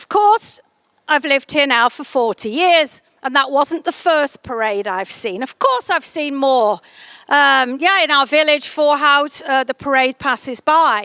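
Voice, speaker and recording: A woman's high, raised, projected voice with a bright, sharp tone and an English accent, fairly slow with lively intonation, in a dry, close sound with no echo. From England, Stoke-on-Trent. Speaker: tourism promoter. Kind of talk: interview monologue. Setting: greenhouse. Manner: hesitant, with fillers and restarts.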